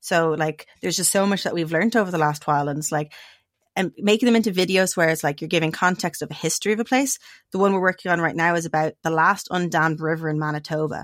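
This woman speaks with a Dublin accent at a fairly low pitch. Her pitch varies in an ordinary way, and her pace is very fast. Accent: Dublin Irish. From Ireland, Dublin. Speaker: guest living off-grid. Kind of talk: casual interview chat.

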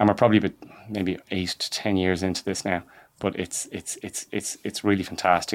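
A man with a very deep, low pitch and a Dublin accent, fairly quick pace, monotone, flat intonation, on a very clean recording with a silent background. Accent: Irish (Dublin). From Ireland, north County Dublin. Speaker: entrepreneur and farmer. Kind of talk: interview. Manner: halting, many repetitions.

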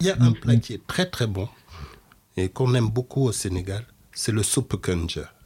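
A man speaks at a medium pitch with a dark, mellow tone that is somewhat breathy. His moderate pace has long, frequent pauses, and his intonation is lively. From Senegalese and Cameroonian family. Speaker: food expert. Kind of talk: interview.

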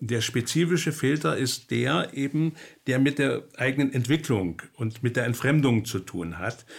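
At a fairly slow pace, a man talks at a medium pitch with lively intonation. There is vocal fry in his voice. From East Germany. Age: 70s. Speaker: psychotherapist and author. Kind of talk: interview. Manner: hesitant, many filler sounds.

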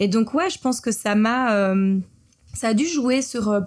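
Somewhat breathy and fairly high-pitched, a woman talks at a fairly slow pace with ordinary pitch variation. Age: 30s. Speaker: entrepreneur and film director. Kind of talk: interview conversation.

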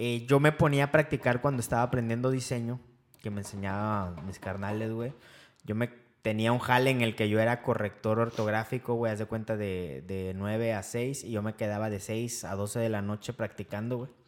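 Here is a man with an unremarkable speaking voice, a medium pitch and fairly even intonation. He keeps a moderate pace on a very clean recording with a silent background. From Veracruz, Mexico. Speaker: football fan podcast co-host. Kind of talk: casual chat.

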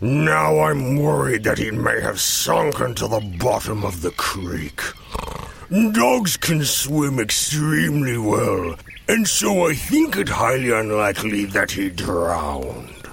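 At a fairly slow pace, a man uses a put-on character voice pitched fairly low, with clear background noise behind him. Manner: slow, thoughtful, patient.

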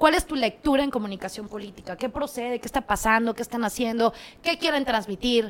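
Her fairly high pitch, ordinary pitch variation and fairly quick pace mark this woman's unremarkable speaking voice. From Mexico, Ciudad Acuña, Coahuila. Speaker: communications strategist and agency owner. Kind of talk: casual interview chat.

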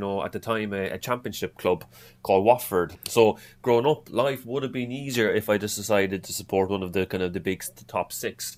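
In an Irish accent, a man speaks with a fairly low pitch and fairly even intonation. The recording is very clean, with a silent background. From Ireland. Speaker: football fan. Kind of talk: casual chat. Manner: halting.

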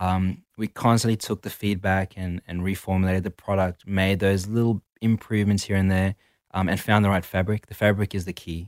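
A fairly quick, monotone delivery with flat intonation in a South African accent, on a very clean recording with a silent background and a dry, close sound with no echo. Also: man, very deep, low pitch for a man. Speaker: activewear brand co-owner. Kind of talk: interview.

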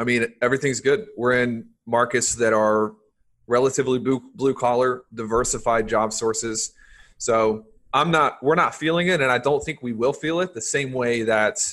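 Against a quiet background, a man with an unremarkable speaking voice speaks at a moderate pace and medium pitch, with ordinary pitch variation. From US South. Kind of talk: casual interview.

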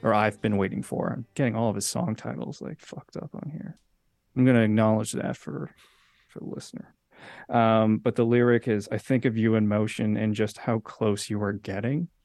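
A man with an unremarkable speaking voice talks at a moderate pace and fairly low pitch, with ordinary pitch variation and big swings in loudness, in a dry, close sound with no echo. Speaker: musician and podcast host. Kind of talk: casual chat about music.

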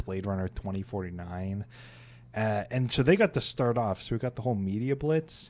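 A man with an American accent and an ordinary speaking voice, pitched fairly low. He talks at a moderate pace with ordinary pitch variation. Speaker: history podcast co-host. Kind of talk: casual chat.

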